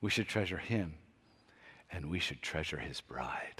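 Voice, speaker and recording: Speaking at a moderate pace, a man's very deep, low voice shows ordinary pitch variation. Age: 60s. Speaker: pastor. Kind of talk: sermon.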